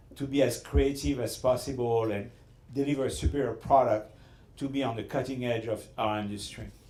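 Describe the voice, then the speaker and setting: In a French accent, a man speaks with fairly even intonation. Room echo is audible. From Southern France. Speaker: restaurateur. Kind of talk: after-dinner speech with storytelling. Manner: halting.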